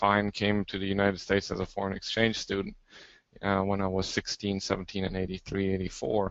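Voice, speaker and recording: A man's fairly low voice with a German accent, at a moderate pace with monotone, flat intonation. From Germany. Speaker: forensic anthropologist. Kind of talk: interview.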